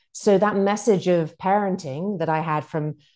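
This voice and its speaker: A woman's British-accented voice, dark and mellow in tone, at a moderate pace with ordinary pitch variation against a quiet background. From UK. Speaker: author and former TV news producer. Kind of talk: interview.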